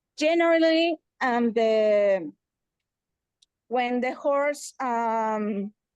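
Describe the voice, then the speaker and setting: Delivered at a very slow pace with long, frequent pauses, the speech in a Spanish accent has lively intonation and a dry, close sound with no echo. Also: woman, high pitch for a woman. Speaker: veterinarian, audience member. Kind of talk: webinar Q&A comment. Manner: halting.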